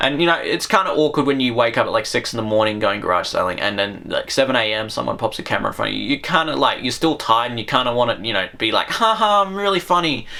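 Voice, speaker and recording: With an Australian accent, a man at a medium pitch speaks at a very fast pace with hardly any pauses and very wide pitch swings, over noticeable background noise. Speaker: YouTuber. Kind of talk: casual monologue to camera. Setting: at home, talking to camera. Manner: rambling, hesitant with many fillers.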